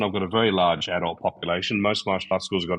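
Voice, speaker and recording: A man with an Australian accent at a very fast pace. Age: 60s. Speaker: karate master. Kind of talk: podcast interview. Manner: hesitant, many fillers.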